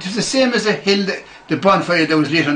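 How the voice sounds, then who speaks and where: A man with a Meath Irish accent speaks at a moderate pace with lively intonation, with audible room echo and noticeable background noise. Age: 60s. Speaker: club member recalling history. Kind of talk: interview reminiscence. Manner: animated.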